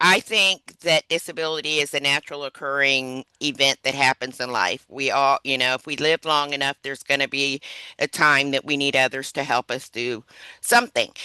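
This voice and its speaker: A woman speaks with a very deep, low pitch and a bright, sharp tone, the sound dry and close with no echo over a quiet background. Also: ordinary pitch variation, moderate pace. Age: 60s. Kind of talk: webinar presentation.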